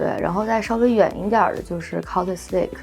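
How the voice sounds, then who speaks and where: A woman at a medium pitch with music in the background. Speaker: ski instructor and surf business owner. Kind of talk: interview answer.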